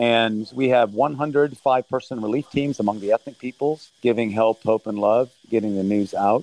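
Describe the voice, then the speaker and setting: With a normal speaking voice, a man in an American accent speaks at a moderate pace and medium pitch, with fairly even intonation and hardly any pauses, in a dry, close sound with no echo. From Thailand, raised by American missionary parents. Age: 60s. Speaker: humanitarian aid leader and former soldier. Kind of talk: interview.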